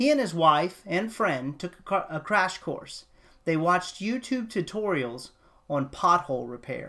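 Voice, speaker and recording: A man with an American accent, high-pitched for a man, with a bright, sharp tone, very wide pitch swings, a fairly slow pace, and a very clean recording over a silent background. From Texas. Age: 30s. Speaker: podcast host. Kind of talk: political commentary podcast. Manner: hesitant, many fillers; impassioned.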